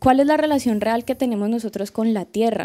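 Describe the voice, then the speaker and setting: With a Colombian accent, a woman speaks at a moderate pace in a fairly high voice with a dark, mellow tone. Her intonation stays fairly even, and the background is quiet. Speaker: student, audience member; audience member. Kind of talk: audience question. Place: hall.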